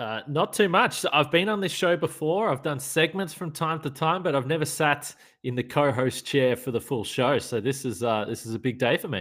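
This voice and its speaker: On a very clean recording with a silent background, a man with an Australian accent talks at a moderate pace with hardly any pauses, a fairly high pitch and lively intonation. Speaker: sports podcast host. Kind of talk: casual chat.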